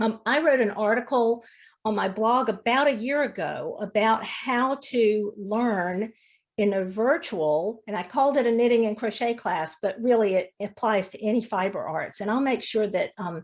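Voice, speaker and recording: With an ordinary speaking voice, a woman talks at a moderate pace, pitched fairly high and varying in an ordinary way. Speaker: fiber arts teacher. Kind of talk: demonstration lecture.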